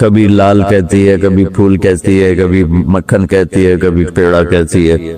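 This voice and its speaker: A man with a very deep, low pitch and a dark, mellow tone speaks in a monotone, flat intonation at very even loudness. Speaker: Islamic preacher. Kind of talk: Islamic sermon.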